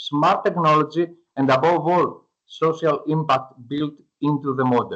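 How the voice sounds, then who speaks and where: In a Greek accent, a man talks at a fairly slow pace with a fairly high pitch. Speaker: startup founder. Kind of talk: pitch presentation; Q&A answer. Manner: halting.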